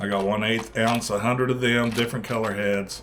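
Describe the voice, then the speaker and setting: A man with a medium pitch is heard over noticeable background noise, with audible room echo. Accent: American. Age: 60s. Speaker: fishing channel host. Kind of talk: casual video vlog. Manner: halting, many fillers.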